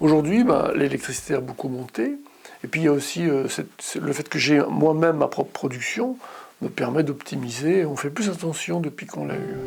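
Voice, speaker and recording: Lively intonation runs through this moderate-paced speech, heard over noticeable background noise. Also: man. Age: 60s. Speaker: customer testimonial, psychologist. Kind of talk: interview testimony. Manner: hesitant, with fillers.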